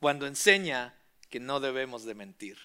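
A man with a bright, sharp tone and lively intonation on a very clean recording with a silent background. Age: 40s. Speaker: pastor. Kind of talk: sermon.

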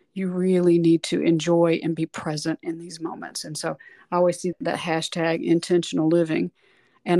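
A woman talks at a fairly quick pace in a dry, close sound with no echo, on a very clean recording with a silent background. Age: 50s. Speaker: voice teacher and singer. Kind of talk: interview conversation.

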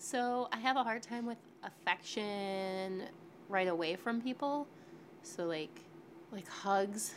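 A woman with an American accent at a very slow pace, with long, frequent pauses. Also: medium pitch for a woman, ordinary pitch variation. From Western New York. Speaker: podcast participant on a date. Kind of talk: casual chat.

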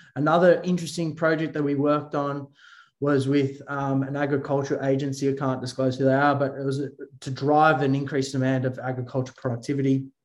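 Very fast, monotone and flat, from a man with an Australian accent and a fairly high pitch. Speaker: drone company founder and CEO. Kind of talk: interview. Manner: halting, frequent fillers and repeated words.

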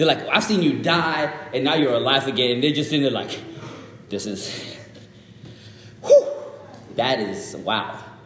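At a moderate pace, a man speaks amid noticeable background noise and audible room echo. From Zimbabwe, moved to Dallas, Texas at about seven. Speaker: guest preacher. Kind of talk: sermon. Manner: casual, interactive with audience.

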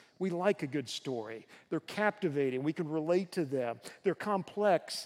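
The intonation is lively and the pace moderate. The speaker has a slight Southern US accent. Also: man. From US South, Tennessee. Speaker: guest preacher, university professor. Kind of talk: sermon. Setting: church.

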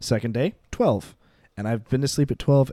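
The voice has a dark, mellow tone. The recording is very clean with a silent background, and the sound is dry and close with no echo. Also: man. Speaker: podcast co-host. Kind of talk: casual banter podcast chat.

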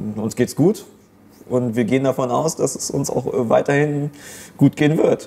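A man speaks at a moderate tempo and ordinary pitch variation, with noticeable noise in the background. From Germany. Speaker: comedian. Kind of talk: casual discussion.

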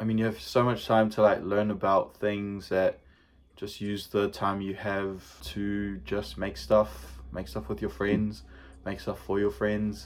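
This man has a New Zealand accent and fairly low pitch. He talks at a fairly slow pace with lively intonation. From New Zealand, Manurewa, South Auckland. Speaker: photographer, graphic designer. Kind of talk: casual chat.

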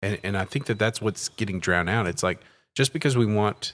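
Moderate-paced speech from a man, fairly low in pitch, with ordinary pitch variation. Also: very clean recording, silent background. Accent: East Texas. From East Texas (Terrell). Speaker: pastor and podcast host. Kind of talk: casual discussion.

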